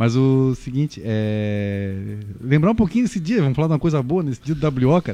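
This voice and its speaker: Lively intonation marks this man's medium-pitched voice, which has a dark, mellow tone and moves at a moderate pace. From Brazil, Florianópolis. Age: 30s. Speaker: football stats commentator. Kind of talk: casual chat.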